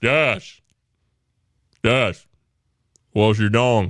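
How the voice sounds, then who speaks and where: Putting on a character voice, a man speaks at a medium pitch with ordinary pitch variation. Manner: comic, silly.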